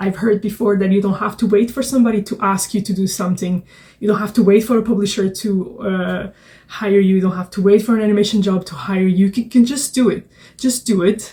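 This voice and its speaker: A woman's medium-pitched voice, dark and mellow in tone and somewhat breathy, with fairly even intonation at a fairly quick pace. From Portugal. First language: Portuguese. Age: 30s. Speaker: children's book author and illustrator. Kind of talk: casual vlog talk. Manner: hesitant, many fillers.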